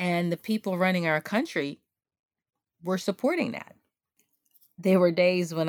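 A woman's fairly low voice at a moderate pace, with ordinary pitch variation, long, frequent pauses, and a dry, close sound with no echo. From Guyana, moved to US at age seven. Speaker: community farmer. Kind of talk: interview testimony.

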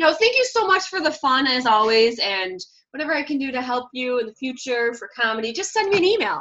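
A raised, projected voice with a bright, sharp tone moves at a fairly quick pace through very wide pitch swings. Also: woman, high pitch for a woman. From Michigan, Detroit area. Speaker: comic speaker. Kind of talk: casual interview.

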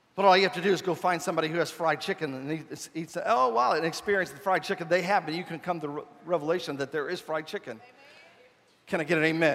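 A man with a high pitch and a warm tone talks at a very fast pace, using ordinary pitch variation. Noticeable background noise can be heard. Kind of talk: sermon. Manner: animated, repetitive pulpit delivery with call-and-response; warm, conversational, mixing humor and altar-call urgency.

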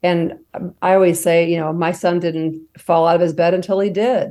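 In a quiet background, a woman speaks at a moderate pace in a fairly low, dark, mellow voice with monotone, flat intonation. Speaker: mother of injured student, safety advocate. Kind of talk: interview.

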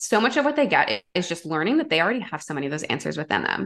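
A woman with a Canadian accent, very fast pace and very wide pitch swings against a quiet background. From Canada, Toronto. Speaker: intuitive guide and energy healer. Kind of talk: casual chat.

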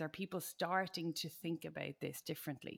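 A woman with a plain, everyday voice, fairly low in pitch, at a fairly quick pace. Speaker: podcast host. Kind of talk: podcast interview.

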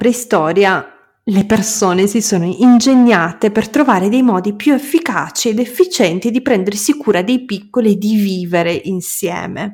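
Somewhat breathy and medium in pitch, a woman speaks at a moderate pace with ordinary pitch variation. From Moldova. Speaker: podcast host. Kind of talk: solo monologue and interview.

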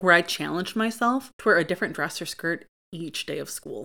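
With a US Midwestern accent, a woman talks at a moderate pace and medium pitch in a very clean recording with a silent background. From Michigan, US (Grand Ledge, near Lansing). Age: 30s. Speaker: podcast host. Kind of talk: casual monologue.

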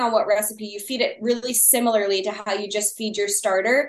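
Speaking very fast, a woman uses an American accent. Her pitch variation is ordinary. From Texas. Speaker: sourdough baker guest. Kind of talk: casual interview chat.

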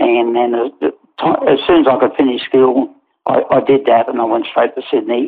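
With an Australian accent, a man keeps to a moderate speed. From Australia, Newcastle NSW. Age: 80s+. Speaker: retired racehorse trainer. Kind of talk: interview. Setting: remote call. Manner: halting.

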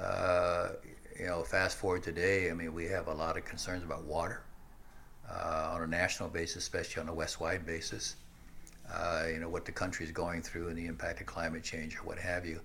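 A man talks fairly quickly, his voice carrying audible room echo. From US Midwest, Nebraska. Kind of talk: interview.

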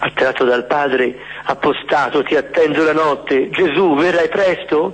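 Against noticeable background noise, a man with a fairly high pitch speaks at very even loudness with ordinary pitch variation. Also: fairly slow pace. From Florence, Tuscany. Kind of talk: guided Eucharistic adoration prayer. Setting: church. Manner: slow.

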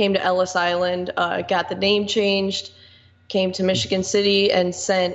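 At medium pitch, a woman talks at a moderate pace with monotone, flat intonation and very even loudness. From northwest Indiana, US Midwest. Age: 20s. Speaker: local activist. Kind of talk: casual chat.

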